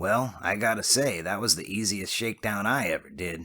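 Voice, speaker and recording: A raspy, put-on character voice from a man, fairly low in pitch, at a moderate pace. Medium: read story. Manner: casual, streetwise slang.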